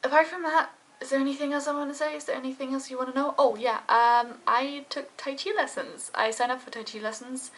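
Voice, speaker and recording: A woman speaks at a very fast pace with a high pitch and ordinary pitch variation. Her loudness swings widely. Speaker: vlogger. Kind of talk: casual vlog talk to camera.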